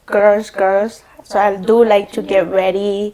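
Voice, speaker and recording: A woman is speaking. She has a strong Salvadoran accent. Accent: thick Salvadoran Spanish. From El Salvador. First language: Spanish. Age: 20s. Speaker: podcast guest. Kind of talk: casual chat.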